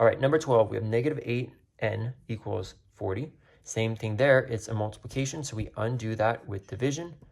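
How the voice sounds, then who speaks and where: A somewhat breathy man's voice at medium pitch with ordinary pitch variation. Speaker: math teacher. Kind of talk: tutorial. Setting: recorded video. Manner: fast.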